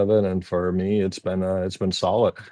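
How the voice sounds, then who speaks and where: A man speaks at a fairly quick pace in a very deep, low voice with a dark, mellow tone over a quiet background. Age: 60s. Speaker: business owner. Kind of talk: interview. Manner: halting, many fillers.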